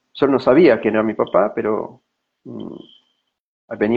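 Moderate pacing from a male speaker, his pitch varying in an ordinary way. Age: 40s. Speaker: personal growth consultant. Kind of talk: personal testimony.

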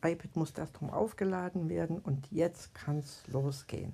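A woman's very slow delivery in a dark, mellow tone, with ordinary pitch variation. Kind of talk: casual chat.

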